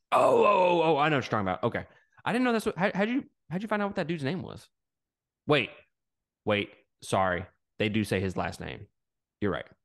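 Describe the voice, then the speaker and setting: In an American accent, a man talks in an animated tone at a very fast pace, his fairly high pitch swinging very widely, with vocal fry and long, frequent pauses against a quiet background. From Mississippi, US South. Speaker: podcast guest. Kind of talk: casual chat.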